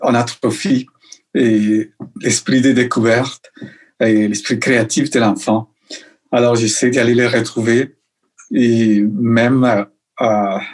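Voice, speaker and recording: A very slow, very evenly loud delivery in a Colombian accent, with fairly even intonation and long, frequent pauses. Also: man, medium pitch for a man. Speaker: illustrator and children's author. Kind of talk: interview answer. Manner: hesitant, many fillers.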